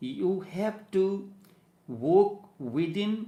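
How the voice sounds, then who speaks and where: A man with an Indian accent, a dark, mellow tone, and lively intonation, with audible room echo. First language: Hindi. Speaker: spiritual teacher. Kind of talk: spiritual discourse. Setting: studio.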